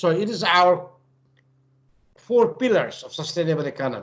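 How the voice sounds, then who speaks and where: With a Nepali accent, a man speaks at a fairly slow pace in a high, bright, sharp voice that makes very wide pitch swings. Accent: South Asian (Nepali) English. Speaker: professor, lecturer. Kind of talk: lecture.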